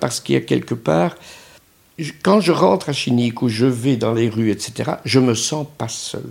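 A man at a fairly slow pace and medium pitch. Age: 70s. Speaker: second-home owner. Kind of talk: interview.

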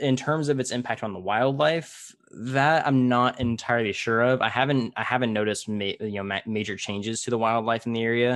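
A man with an American accent speaks at a fairly quick pace in a normal speaking voice, medium in pitch, with fairly even intonation, hardly any pauses and a quiet background. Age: 20s. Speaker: podcast host. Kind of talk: casual interview.

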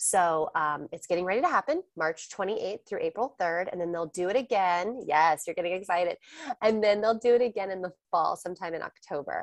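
Speaking with an American accent at a fairly quick pace, the voice sounds animated, with ordinary pitch variation and a dry, close sound with no echo. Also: woman, medium pitch for a woman. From Texas, Austin. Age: 30s. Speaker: interior stylist. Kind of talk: casual interview.

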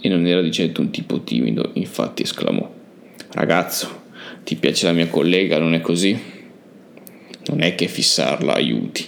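A man's very deep, low voice with lively intonation, very even loudness, a moderate pace and long, frequent pauses. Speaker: podcast host and narrator.

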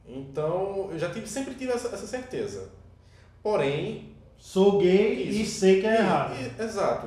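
In a room with audible echo, a man speaks at a fairly slow pace in a high voice with lively intonation. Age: 20s. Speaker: podcast co-host. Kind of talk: casual chat.

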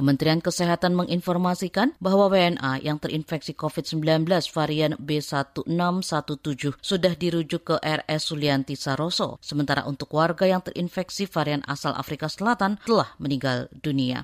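A woman speaks at a moderate pace with hardly any pauses, her pitch very deep and low with ordinary variation. The recording is very clean with a silent background, and the sound is dry and close with no echo. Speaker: radio reporter. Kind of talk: scripted news report narration.

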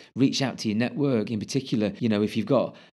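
With a British accent, a man speaks at a medium pitch in a dark, mellow tone with ordinary pitch variation, in a very clean recording with a silent background. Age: 40s. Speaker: ex-military commercial director. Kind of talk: casual interview.

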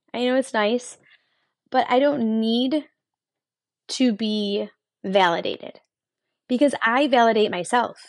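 An animated woman's voice, fairly high in pitch, with a Western New York accent. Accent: Western New York American. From Buffalo, New York, US. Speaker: motivational podcaster. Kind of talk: motivational monologue.

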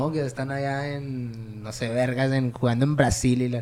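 He speaks in a plain, everyday voice with a medium pitch. The man's pace is fairly slow. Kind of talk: casual chat. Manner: casual, slangy.

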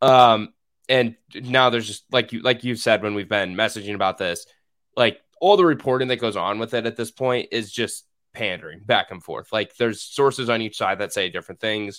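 On a very clean recording with a silent background, a man with a plain, everyday voice speaks at medium pitch and a moderate pace with ordinary pitch variation. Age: 20s. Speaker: former co-host, sports writer. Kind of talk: casual chat.

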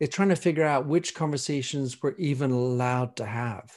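A man speaks at a fairly high pitch. The recording is very clean, with a silent background. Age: 50s. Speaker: leadership speaker and author. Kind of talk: casual chat.

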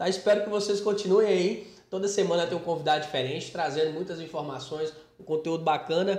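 A man speaks at a fairly quick pace in a high voice with fairly even intonation. Room echo is audible and background noise is noticeable. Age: 20s. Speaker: podcast host. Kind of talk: casual interview.

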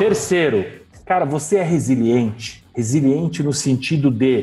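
This is a man with a normal speaking voice at a medium pitch. He speaks fairly slowly, with ordinary pitch variation. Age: 40s. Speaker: HR director. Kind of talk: casual interview.

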